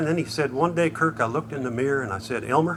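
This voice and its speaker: A man talks at a very fast pace with ordinary pitch variation, with audible room echo and noticeable background noise. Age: 70s. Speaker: bluegrass band member. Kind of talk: stage banter between songs.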